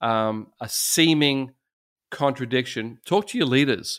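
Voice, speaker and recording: A man with an Australian accent talks at a moderate pace in a medium pitch with ordinary pitch variation. The recording is very clean with a silent background. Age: 60s. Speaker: pastor. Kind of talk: casual chat.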